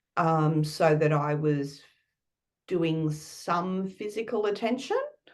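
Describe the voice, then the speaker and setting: A woman speaks very slowly at a fairly low pitch with ordinary pitch variation. Audible room echo surrounds her voice. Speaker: life coach. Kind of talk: casual chat. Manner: halting.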